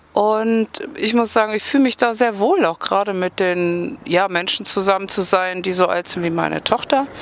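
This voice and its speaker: A woman speaks at a medium pitch with noticeable background noise behind her. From Rhineland, near Bonn. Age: 40s. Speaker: sports therapist. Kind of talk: interview.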